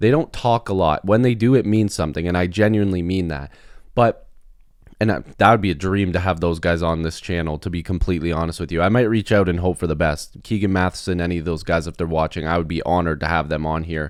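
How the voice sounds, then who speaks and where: A man speaks very fast in a very deep, low pitch. The recording is very clean, with a silent background. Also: ordinary pitch variation. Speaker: sports youtuber. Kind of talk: casual commentary vlog.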